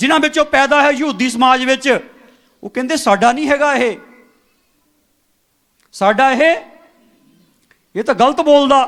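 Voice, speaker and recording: A man with an extremely high pitch and ordinary pitch variation. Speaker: church preacher. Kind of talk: sermon / Bible preaching to congregation.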